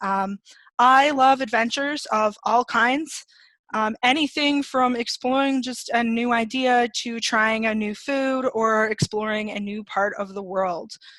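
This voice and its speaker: A normal speaking voice in a Canadian accent, at a fairly slow pace with fairly even intonation and a dry sound with no echo. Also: woman, fairly high pitch for a woman, quiet background. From Canada. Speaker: product trainer and designer; product trainer. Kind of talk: webinar presentation. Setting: video webinar. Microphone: video call.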